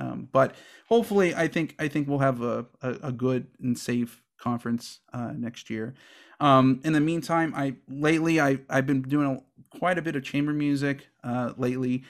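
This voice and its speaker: Recorded very cleanly with a silent background, a man with an American accent talks at a moderate pace in a medium pitch with ordinary pitch variation. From Houston, Texas. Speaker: saxophone professor. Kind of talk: interview conversation. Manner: halting, many fillers and repetitions.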